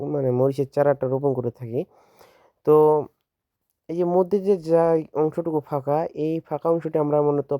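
The recording is very clean, with a silent background and a dry, close sound with no echo. A man talks with fairly even intonation. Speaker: farmer and video creator. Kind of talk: outdoor farm demonstration. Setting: outdoors in a chili field. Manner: halting, many fillers.

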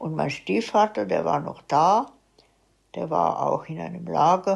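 A woman at a very slow pace against a quiet background. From Moravia, Czechoslovakia. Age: 90s. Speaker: eyewitness; witness. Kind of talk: oral history interview. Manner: halting. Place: home room.

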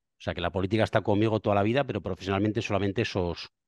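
Very fast talk from a man, fairly low in pitch with fairly even intonation, in a dry sound with no echo over a quiet background. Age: 50s. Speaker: politician; politician guest. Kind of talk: interview. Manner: halting. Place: office. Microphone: headset.

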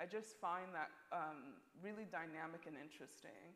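This woman has a fairly low pitch and an unremarkable speaking voice. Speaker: contemporary artist; panelist. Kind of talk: panel discussion. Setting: stage with audience. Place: hall.

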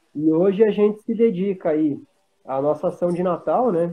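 A plain, everyday voice belongs to a man speaking at a moderate pace. Pitch variation is ordinary. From Brazil, Paraná (Pato Branco); Paraná, Brazil. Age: 30s. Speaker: motorcycle club regional representative; guest. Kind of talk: casual chat. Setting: video call. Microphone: video call.

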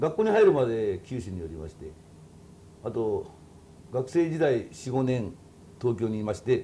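Over light background noise, a man talks at a moderate pace with long, frequent pauses, very wide pitch swings and big swings in loudness. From Kyushu, Oita, Japan. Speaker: kokeshi doll artist. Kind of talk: casual interview. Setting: workshop studio. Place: home room. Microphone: lapel.

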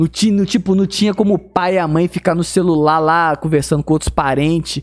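Against a quiet background, a man with a high pitch talks at a moderate pace. His tone is animated and his pitch variation ordinary. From Brazil. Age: 30s. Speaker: gaming YouTuber. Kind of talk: casual vlog monologue. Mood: animated, mildly exasperated. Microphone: studio mic.

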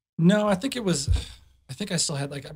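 Quiet surrounds this somewhat breathy voice. Its pitch varies in an ordinary way. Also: man. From Chicago. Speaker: club DJ. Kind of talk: casual chat. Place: studio. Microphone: studio mic.

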